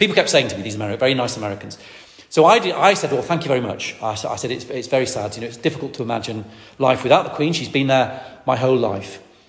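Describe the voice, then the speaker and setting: At a very fast pace, a man with lively intonation speaks at medium pitch over noticeable background noise. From northwest England. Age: 50s. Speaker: preacher. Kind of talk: sermon. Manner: halting, with frequent fillers.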